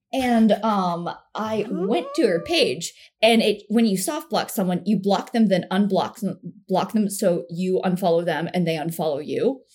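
Somewhat breathy and medium in pitch, a woman talks at a moderate pace with ordinary pitch variation. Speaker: comedian. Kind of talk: casual chat.

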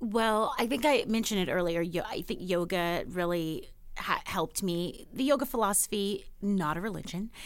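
A normal speaking voice from a woman with an American accent, medium pitch, lively intonation, moderate pace and hardly any pauses. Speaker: actress. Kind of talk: casual chat.

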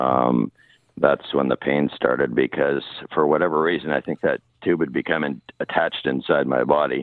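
A man speaks with a Canadian accent at a moderate pace. His pitch is very deep and low, and his intonation fairly even. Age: 50s. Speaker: caller with chronic pain. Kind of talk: radio call-in. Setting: phone call.

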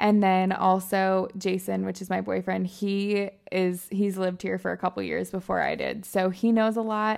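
A woman speaks with an American accent at a moderate pace. She hardly pauses at all. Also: very clean recording, silent background. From Michigan. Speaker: lifestyle and fitness influencer. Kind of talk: casual chat.

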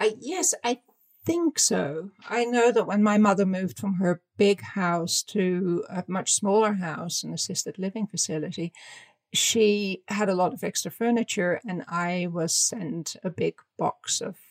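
A woman's medium-pitched voice with a Dutch accent, at a fairly slow pace with ordinary pitch variation, in a dry, close sound with no echo. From Netherlands. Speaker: fashion designer and author. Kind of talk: interview.

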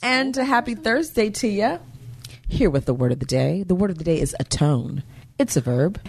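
A woman's fairly low, somewhat breathy voice, very even in loudness, fairly quick, with very wide pitch swings. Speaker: podcast host, dancer and choreographer. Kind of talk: casual chat.

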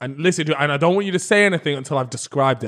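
Racing along at a very fast pace, a man with a British accent uses lively intonation. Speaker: YouTuber and podcast co-host. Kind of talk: casual chat. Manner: playful.

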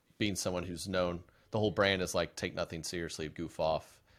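Speaking at a fairly quick pace with fairly even intonation, a man with an American accent uses a very deep, low pitch on a very clean recording with a silent background. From Oklahoma. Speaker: comedian. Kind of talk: casual chat.

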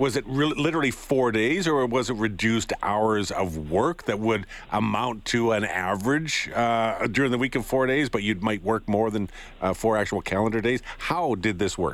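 With a Canadian accent, this is an ordinary speaking voice at a moderate pace, with ordinary pitch variation and very even loudness. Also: man, medium pitch for a man. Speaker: morning radio host. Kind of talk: radio interview. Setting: studio. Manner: casual, uses fillers.

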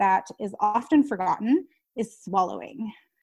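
At a fairly slow pace, a woman speaks in a somewhat breathy, fairly high voice with lively intonation. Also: quiet background. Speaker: speech language pathologist. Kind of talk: casual interview.

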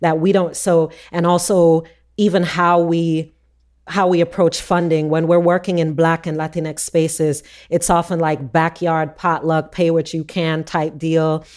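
At a fairly slow pace, a woman talks in a monotone, flat intonation. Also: fairly low pitch for a woman. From Jamaica. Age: 40s. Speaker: author and educator. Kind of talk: interview.

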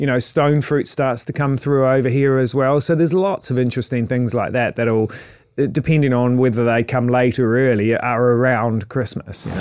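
A man with a New Zealand accent speaks at a moderate pace and medium pitch. His loudness stays very even, and his intonation is fairly even. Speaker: chef. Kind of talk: casual interview chat. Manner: halting, many repetitions and fillers.

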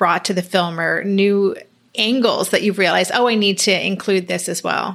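A woman talks in an ordinary speaking voice at a moderate pace. Her medium pitch follows fairly even intonation. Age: 50s. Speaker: podcast host. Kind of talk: interview.

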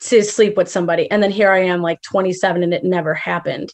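A woman with an American accent speaks at a very fast pace. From Chicago. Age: 20s. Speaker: caller. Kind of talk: advice call.

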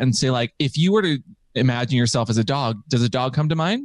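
There's an unremarkable speaking voice here, a man at medium pitch with lively intonation, recorded with a dry, close sound with no echo. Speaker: podcaster.

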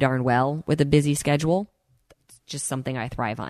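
Talking at a fairly quick pace, a woman has a very deep, low pitch. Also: dry, close sound with no echo, quiet background. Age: 40s. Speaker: fitness and nutrition podcast host. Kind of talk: personal story monologue.

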